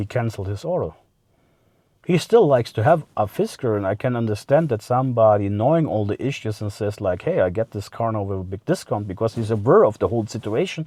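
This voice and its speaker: Against a quiet background, a man with a German accent speaks at a fairly quick pace. His medium-pitched voice is dark and mellow, with lively intonation. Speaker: car vlogger. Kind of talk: casual vlog monologue. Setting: in a car. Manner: halting, many fillers.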